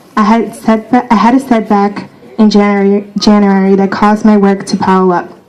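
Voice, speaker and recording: A woman with an American accent at a moderate pace, monotone and flat, amid noticeable background noise and audible room echo. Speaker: graduating student speaker. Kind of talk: graduation speech. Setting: outdoor stadium ceremony. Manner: halting, self-correcting.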